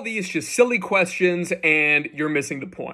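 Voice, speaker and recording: In an American accent, the voice carries an animated tone with ordinary pitch variation. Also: man. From United States. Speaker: psychologist and academic advice youtuber. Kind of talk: youtube q&a advice talk.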